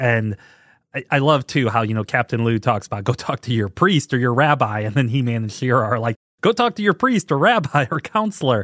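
Lively in intonation, a man with an ordinary speaking voice and medium pitch moves at a fairly quick pace in a dry, close sound with no echo and a quiet background. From US Midwest, St. Louis, Missouri. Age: 40s. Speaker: podcast host. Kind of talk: casual solo podcast monologue.

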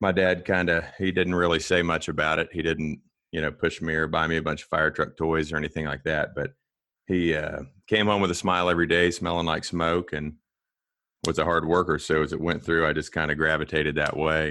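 Over a quiet background, a man with an American accent talks at a fairly quick pace, his very deep, low pitch carrying a bright, sharp tone and monotone, flat intonation. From Kansas, US Midwest. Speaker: firefighter and rescue instructor. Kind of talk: casual interview chat.

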